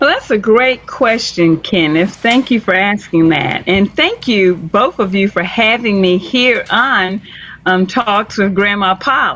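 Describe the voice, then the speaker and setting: A woman's medium-pitched voice with ordinary pitch variation and very even loudness, at a fairly slow pace amid noticeable background noise. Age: 60s. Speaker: storyteller. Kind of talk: interview.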